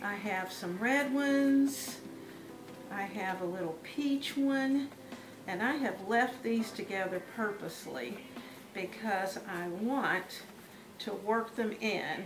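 A woman speaks at a very slow pace with long, frequent pauses. Music plays in the background. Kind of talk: tutorial. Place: kitchen.

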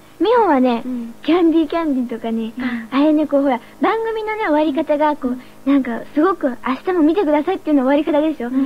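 Her speech races along very fast, pitched high. The intonation moves in a lively way. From Japan. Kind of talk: radio show banter between idol group members. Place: studio. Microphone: old recording.

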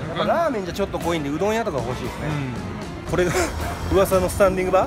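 A man at a very fast pace over clear music in the background. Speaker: street vlogger. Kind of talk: casual street vlog talk to camera. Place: street. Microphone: phone near.

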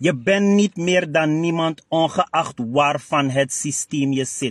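A man with a Surinamese accent at a very slow pace, with ordinary pitch variation, a dry sound with no echo, and a quiet background. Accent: Surinamese Dutch. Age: 40s. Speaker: party spokesman and director; party spokesman. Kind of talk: interview monologue. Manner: animated. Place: car.

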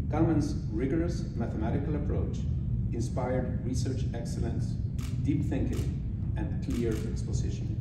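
A man speaks amid loud background noise, with audible room echo. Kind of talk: formal acceptance speech. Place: hall. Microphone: podium.

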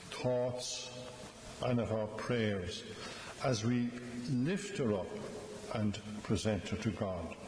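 A man at a very slow pace and very even loudness, with audible room echo and light background noise. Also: ordinary pitch variation. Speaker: priest. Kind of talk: funeral homily. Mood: gentle, solemn, warm. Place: church. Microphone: podium.

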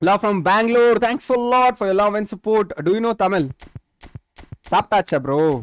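At a moderate pace, a man with a high pitch speaks with lively intonation, the sound dry and close with no echo. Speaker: gaming streamer. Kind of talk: live gaming stream commentary.

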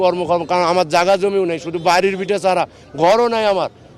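A man speaks at a high pitch with fairly even intonation. Noticeable background noise runs under his voice. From northern Bangladesh. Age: 30s. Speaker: released former border guard soldier. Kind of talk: emotional testimony to reporters.

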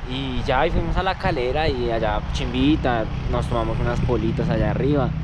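The sound is dry with no echo, but the background noise is loud. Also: man. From Colombia, Soacha (Bogotá area). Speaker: vlogger. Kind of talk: casual vlog. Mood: joking, slangy, relaxed. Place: forest. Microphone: phone near.

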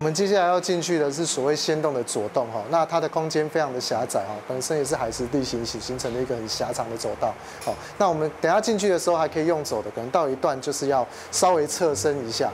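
A man rushes along at a very fast pace with light background noise behind him. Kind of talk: interview answer. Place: tunnel cave. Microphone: lapel.

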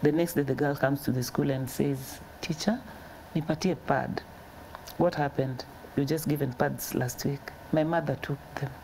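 Light background noise sits behind a woman with a very deep, low pitch. She keeps a moderate pace and fairly even intonation, with long, frequent pauses. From Kenya, Nairobi; Kenya. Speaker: charity founder. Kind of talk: interview. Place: studio.

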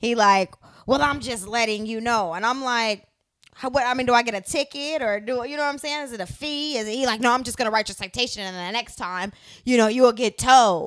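Speaking at a high pitch and a fairly quick pace, a woman uses ordinary pitch variation. The background is quiet. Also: big swings in loudness. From US Midwest. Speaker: reality TV personality and entertainer. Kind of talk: casual chat. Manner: casual, laughs often. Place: home room. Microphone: handheld.

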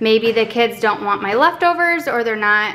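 Lively intonation marks this woman's speech. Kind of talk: casual vlog chat. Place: home room. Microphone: camera far.

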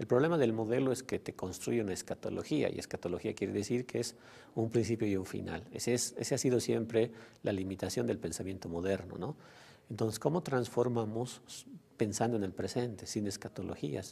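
A man's dark, mellow voice at a fairly quick pace, with ordinary pitch variation. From Bolivia. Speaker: sociologist and former education official; interviewee. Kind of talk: interview monologue; interview answer. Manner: halting, many fillers and repetitions. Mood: calm, thoughtful. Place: studio. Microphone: lapel.

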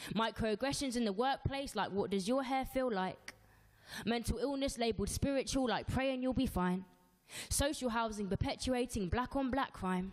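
A woman with a London accent speaks in a high voice with ordinary pitch variation and very even loudness. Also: moderate pace, quiet background. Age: 20s. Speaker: spoken word poet. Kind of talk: spoken word performance. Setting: live show. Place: studio. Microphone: handheld.

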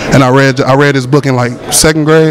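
A man talks at a very fast pace and a fairly high pitch with an American accent. The sound is dry with no echo, over light background noise. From Atlanta, US South. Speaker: radio reporter. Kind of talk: red carpet interview. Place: hall. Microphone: handheld.

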